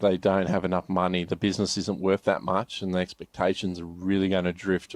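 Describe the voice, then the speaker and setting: A man with an Australian accent speaks in a very deep, low voice with monotone, flat intonation at a moderate pace. The sound is dry and close with no echo, over a quiet background. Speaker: business advisor. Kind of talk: podcast interview. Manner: halting.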